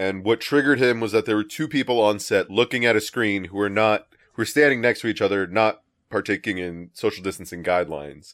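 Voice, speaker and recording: A man's normal speaking voice, fairly low in pitch and fairly quick in pace, on a very clean recording with a silent background. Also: ordinary pitch variation. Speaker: podcast co-host. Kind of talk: casual banter, comedy podcast.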